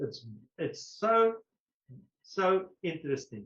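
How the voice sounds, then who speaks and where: A man speaks with a South African accent at a high pitch. His pitch varies in an ordinary way. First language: Afrikaans. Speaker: retired police brigadier and historian. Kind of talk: question and answer; lecture.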